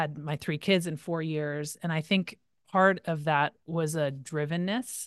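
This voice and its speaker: A woman talks in a normal speaking voice, fairly low in pitch with ordinary pitch variation. The background is quiet. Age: 40s. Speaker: pastor and life coach. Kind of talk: interview conversation.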